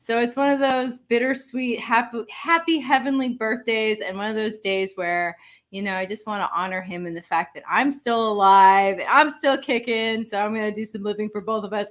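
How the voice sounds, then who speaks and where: Her ordinary speaking voice fairly high in pitch, a woman talks at a moderate pace with hardly any pauses, ordinary pitch variation and big swings in loudness, in a very clean recording with a silent background. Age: 40s. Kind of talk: casual talk to camera.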